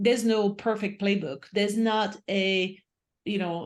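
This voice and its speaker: With a non-native accent, this woman talks at a medium pitch. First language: not English. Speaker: author and leadership speaker. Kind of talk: interview conversation.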